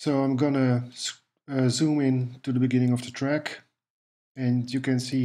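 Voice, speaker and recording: A man speaks at a fairly slow pace with a Dutch accent, his dark, mellow tone held in a flat monotone. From Netherlands. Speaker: music production tutor. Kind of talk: tutorial. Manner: hesitant, with fillers.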